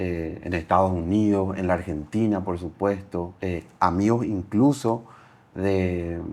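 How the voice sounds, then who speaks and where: In a very deep, low voice, a man talks at a very slow pace with fairly even intonation. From Paraguay. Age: 30s. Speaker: entrepreneur. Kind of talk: interview.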